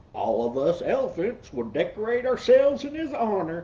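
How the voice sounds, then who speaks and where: The speaker uses a put-on character voice with a fairly high pitch and a moderate pace. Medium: read story.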